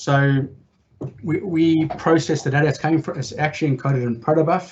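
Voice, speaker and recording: A man's fairly high voice at a fairly quick pace. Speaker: data consultancy director moderating Q&A. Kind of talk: tech meetup Q&A answers. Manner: fast.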